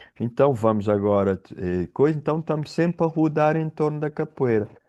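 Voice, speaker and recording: Against a quiet background, a man with a fairly high pitch is heard in a dry, close sound with no echo. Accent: Cape Verdean. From Cape Verde. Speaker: capoeira teacher and professor. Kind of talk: podcast interview. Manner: halting, with false starts.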